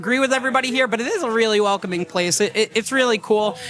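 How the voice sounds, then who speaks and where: A man with a New York accent talks in a raised, projected voice at an extremely high pitch with ordinary variation. He goes at a very fast pace over noticeable background noise. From Long Island, New York. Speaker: teacher and kava bar regular. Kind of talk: casual chat. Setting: live podcast at a kava bar.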